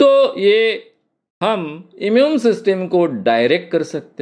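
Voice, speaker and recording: A man is speaking. His pitch swings very widely. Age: 70s. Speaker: hypnosis trainer. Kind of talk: lecture.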